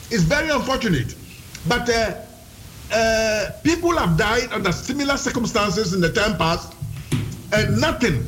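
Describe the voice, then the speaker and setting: Over music in the background, a man with a high voice speaks with lively intonation and long, frequent pauses. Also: moderate pace. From Ghana. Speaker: police officer. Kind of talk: radio interview.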